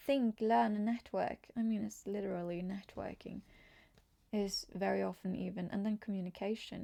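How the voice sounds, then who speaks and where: A woman with a medium-pitched voice and a dark, mellow tone talks at a moderate pace with ordinary pitch variation. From Norway. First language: Norwegian. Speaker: tarot reader, streamer. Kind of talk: live-stream tarot reading with chat. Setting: live stream at home computer. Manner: chatty, scattered.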